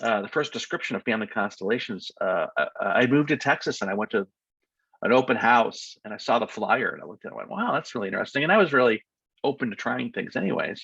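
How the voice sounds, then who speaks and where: A man talks with an American accent. His pace is very fast. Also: dry, close sound with no echo. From United States. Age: 60s. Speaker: family constellation facilitator. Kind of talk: interview. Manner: halting.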